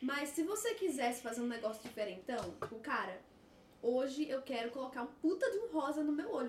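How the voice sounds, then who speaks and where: Amid audible room echo and noticeable background noise, a woman speaks at a high pitch and fairly quick pace with lively intonation. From Brazil. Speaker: guest. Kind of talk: casual chat.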